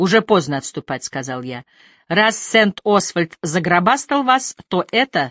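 The speaker reads aloud in a natural voice, with a quiet background behind them.

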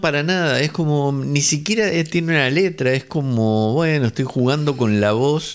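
A man with a fairly high pitch talks at a moderate pace, his pitch varying in ordinary ways.

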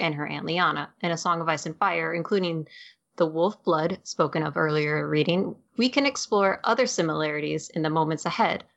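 A woman with an ordinary speaking voice, fairly low in pitch, at a moderate pace with ordinary pitch variation against a quiet background. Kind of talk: dramatic narration reading aloud from the novella text. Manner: expressive storyteller voice, acting out the she-wolf's lines.

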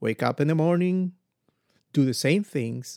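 Recorded very cleanly against a silent background, a man with a Spanish accent sounds dry and close with no echo. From Ecuador. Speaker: podcast host, motivational speaker. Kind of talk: motivational monologue.

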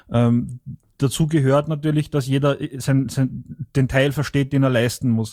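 A man with an Austrian accent, dark and mellow in tone, medium in pitch, fairly slow, monotone and flat in intonation, with very even loudness. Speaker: party member reporting from abroad. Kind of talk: online meeting discussion. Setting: online voice chat.

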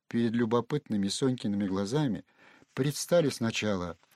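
A natural reading voice is heard here.

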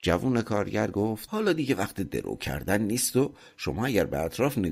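The intonation rises and falls in a lively way. It comes across as an unforced reading voice.

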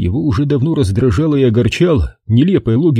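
The intonation is lively throughout this reading aloud in a natural voice.

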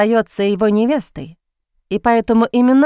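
Plain reading aloud in fairly even intonation over a quiet background

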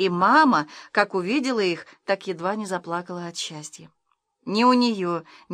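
The voice reads in an unforced way with ordinary rises and falls in pitch, and the surroundings are quiet.

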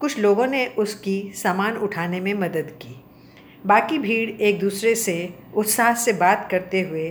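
Read aloud in a natural voice, the words carry ordinary pitch variation.

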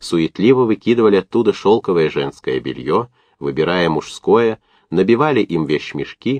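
Lively intonation runs through the reading aloud in a natural voice.

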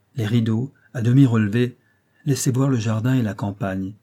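In an unforced reading voice, the speaker keeps a fairly even intonation against a quiet background.

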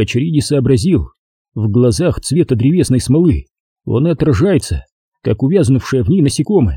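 With lively intonation and a quiet background, the speaker reads aloud in a natural voice.

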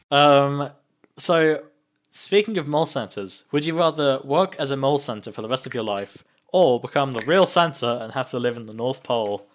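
A man with an English accent speaks at a moderate pace, his pitch fairly high and his intonation lively. His loudness swings widely, and the recording is very clean with a silent background. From England. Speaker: podcast host. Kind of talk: casual chat.

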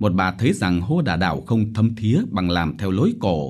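Someone reads in an unforced reading voice, the intonation lively throughout.

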